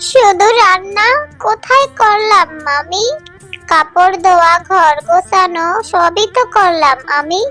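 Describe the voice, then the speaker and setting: A cartoonish character voice speaks at a very slow pace. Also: female-sounding voice, extremely high pitch for a woman. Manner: meek, soft, sad.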